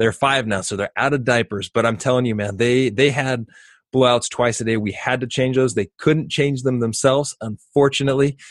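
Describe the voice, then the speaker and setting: A man with an ordinary speaking voice, medium in pitch, at a fairly quick pace with fairly even intonation, in a dry, close sound with no echo against a quiet background. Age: 30s. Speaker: parenting podcast host, father of twins. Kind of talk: casual chat.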